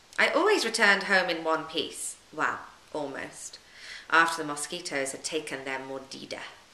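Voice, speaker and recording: A woman with a British accent and fairly low pitch, over noticeable background noise. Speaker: yoga teacher. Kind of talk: audiobook reading of travel memoir.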